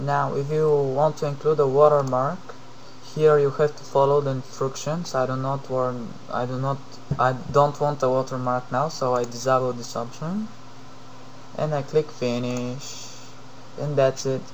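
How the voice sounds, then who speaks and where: A man with a Bulgarian accent speaks at a moderate pace in a fairly high pitch, his intonation flat and monotone, with long, frequent pauses over noticeable background noise. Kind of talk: software tutorial narration. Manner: hesitant, many fillers.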